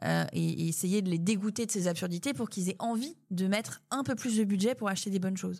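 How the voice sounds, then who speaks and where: A woman talks at a fairly quick pace with a medium pitch and ordinary pitch variation, sounding somewhat breathy. The recording is very clean, with a silent background. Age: 30s. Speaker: food company founder. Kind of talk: casual interview. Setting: coworking space.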